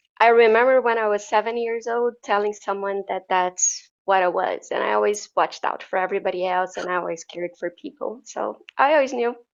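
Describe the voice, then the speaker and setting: A fairly quick delivery in a Portuguese accent, with ordinary pitch variation and hardly any pauses. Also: woman, medium pitch for a woman. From Brazil. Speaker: wellness coach. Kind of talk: interview.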